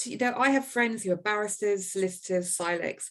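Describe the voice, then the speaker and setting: A woman speaks with a West Country accent. Her pitch variation is ordinary. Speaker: lawyer and professional body vice president. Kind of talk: casual interview chat. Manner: somewhat polished telephone voice; repeats words, hesitant starts.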